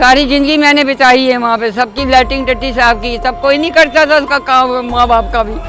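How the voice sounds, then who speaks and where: Music plays in the background as a high-pitched woman speaks with fairly even intonation. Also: moderate pace, hardly any pauses. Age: 80s+. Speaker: street seller of digestive powder. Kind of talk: interview answer.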